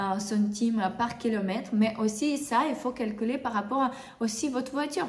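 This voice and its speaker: At a moderate pace, a woman speaks with a non-native accent and a fairly high pitch, with ordinary pitch variation. Audible room echo and noticeable background noise fill the recording. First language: not French (speaking French). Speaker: bridal hairdresser and makeup artist, trainer. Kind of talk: tutorial. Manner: halting, many hesitations; casual, conversational.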